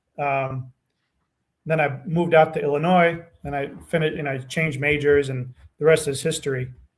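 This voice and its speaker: A man with a fairly high, somewhat breathy voice speaks at a fairly quick pace, keeping his intonation fairly even. Long pauses come often. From Romania, emigrated to US at almost seven. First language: Romanian. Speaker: nutrition scientist. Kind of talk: podcast interview. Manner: hesitant, many fillers.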